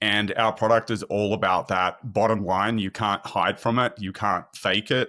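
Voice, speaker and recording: A man with an Australian accent talks in a fairly low, monotone voice with flat intonation at a moderate pace, with hardly any pauses. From Sydney, Australia. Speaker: product marketing manager at a software company. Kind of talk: podcast interview.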